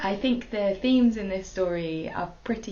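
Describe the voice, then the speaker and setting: Heard with audible room echo, a woman in a British accent speaks at a fairly slow pace. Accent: quite British. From Hong Kong. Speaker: storyteller, actor. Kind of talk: personal introduction; bedtime story telling.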